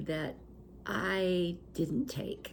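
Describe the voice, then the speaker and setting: The woman's voice sits at a medium pitch. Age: 70s. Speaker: retired teacher and show host. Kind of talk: reflective monologue.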